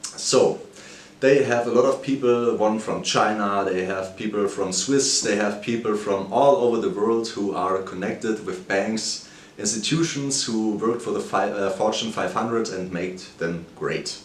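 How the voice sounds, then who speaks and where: A man speaks fairly slowly at a fairly low pitch with ordinary pitch variation. Audible room echo and noticeable background noise are present. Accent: German. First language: German. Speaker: finance video creator. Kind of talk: video commentary on a stock. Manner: halting, some self-corrections.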